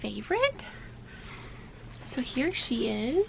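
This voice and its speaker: A woman talks at a very slow pace, with noticeable background noise behind her. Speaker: vintage toy collector. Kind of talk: casual talk to camera.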